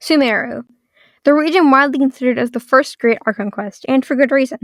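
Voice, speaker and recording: Delivered at a fairly quick pace, the recording is very clean with a silent background. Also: woman. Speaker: game video essayist. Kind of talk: video essay narration.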